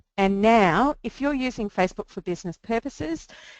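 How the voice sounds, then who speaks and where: A woman with ordinary pitch variation, in a dry, close sound with no echo against a quiet background. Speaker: social media marketing educator. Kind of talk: webinar presentation. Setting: online webinar. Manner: fast.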